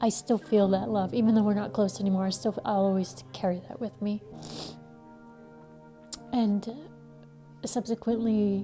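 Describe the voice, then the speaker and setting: With music in the background, a woman with an American accent talks in a gentle tone at a moderate pace, her medium pitch varying in an ordinary way, with long, frequent pauses. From Connecticut. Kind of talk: interview answer. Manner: gentle, reflective.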